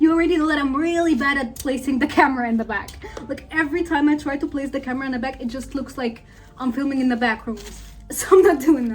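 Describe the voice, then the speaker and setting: With music in the background, a woman with a non-native accent talks at a high pitch and a fairly quick pace, her intonation fairly even. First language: not English. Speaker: beauty vlogger. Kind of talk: tutorial vlog. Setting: filming at home.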